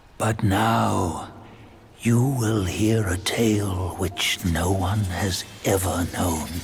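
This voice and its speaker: Over clear background noise, a man delivers a put-on character voice at a very slow pace, his pitch very deep and low. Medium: video game. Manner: knowing, storytelling.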